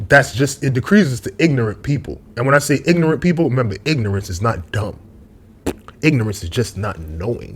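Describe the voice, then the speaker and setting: Speaking at a fairly quick pace, a man with a medium pitch sounds somewhat breathy as his pitch swings very widely. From New York, Brooklyn. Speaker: YouTube commentator. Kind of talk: casual monologue vlog. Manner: rambling, tangential.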